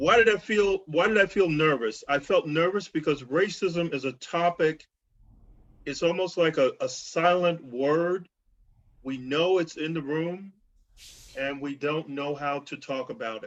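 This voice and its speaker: With an American accent and a plain, everyday voice, a man speaks at a fairly slow pace and fairly high pitch, with ordinary pitch variation. The background is quiet. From US South, rural Georgia. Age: 60s. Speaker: reverend and speaker. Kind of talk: talk on racism with personal story.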